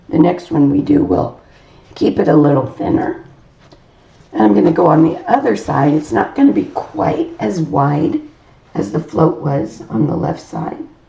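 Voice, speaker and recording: The pace is moderate as a woman talks. Noticeable background noise is present throughout. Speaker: decorative painting teacher. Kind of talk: tutorial.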